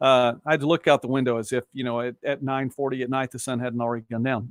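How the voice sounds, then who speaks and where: A man with an American accent at a very fast pace, dry, close sound with no echo. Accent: slight Southern, worked toward Midwest. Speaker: local news host and sports broadcaster. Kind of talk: live-stream commentary reading viewer comments. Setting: home studio, live stream. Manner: casual, rambling conversational.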